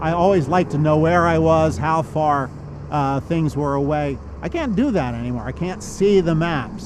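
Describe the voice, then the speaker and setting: A man at a moderate pace with a fairly high pitch, amid audible room echo and noticeable background noise. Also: ordinary pitch variation. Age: 60s. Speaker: visually impaired army veteran. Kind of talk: interview testimony.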